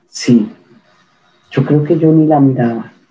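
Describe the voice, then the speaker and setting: Her voice is very deep and low for a woman, dark and mellow in tone, somewhat breathy, and fairly slow in pace. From Colombia. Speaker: ontological coach. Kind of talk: interview conversation.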